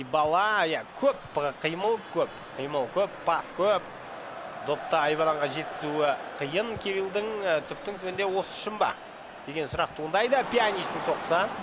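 A man's high, animated voice at a fairly slow pace with ordinary pitch variation, over noticeable background noise. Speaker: esports commentator. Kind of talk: live commentary.

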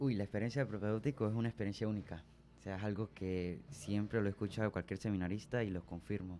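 A man speaks very fast in a dark, mellow tone. Light background noise can be heard. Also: fairly low pitch for a man, fairly even intonation. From Venezuela, southern Táchira state. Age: young. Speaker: seminarian; radio guest. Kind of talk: radio interview testimony. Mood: earnest, warm. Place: studio. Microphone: studio mic.

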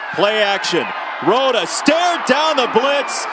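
Over noticeable background noise, a man talks with lively intonation. His pitch is extremely high. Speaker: play-by-play announcer. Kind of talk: live sports commentary, play-by-play. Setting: stadium broadcast, football game.

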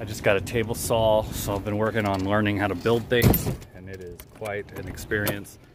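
A man is speaking over loud background noise. The sound is dry with no echo. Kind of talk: casual vlog tour. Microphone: phone near.

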